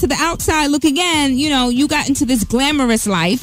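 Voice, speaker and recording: A woman with a high pitch sounds upbeat against music in the background. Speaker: radio host. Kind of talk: radio interview, host questions.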